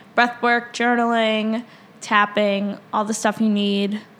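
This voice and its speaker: Over noticeable background noise, a woman talks at a fairly high pitch with monotone, flat intonation. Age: 20s. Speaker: podcast co-host and fitness instructor. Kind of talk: casual chat.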